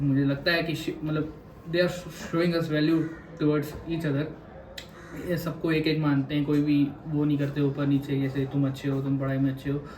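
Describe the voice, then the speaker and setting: A man's fairly high, monotone, flat voice at a moderate pace, with long, frequent pauses, audible room echo and noticeable background noise. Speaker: maritime cadet. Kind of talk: interview.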